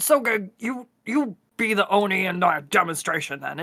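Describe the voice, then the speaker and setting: Using a put-on character voice, a female-sounding speaker talks at a moderate pace and medium pitch. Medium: actual play. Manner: blunt, bro slang.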